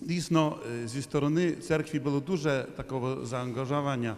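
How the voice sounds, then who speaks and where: This man's voice sits at a medium pitch with ordinary pitch variation. The recording has audible room echo and noticeable background noise. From Poland, Krakow. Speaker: priest, liturgist. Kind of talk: conference Q&A remark. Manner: halting, many hesitations.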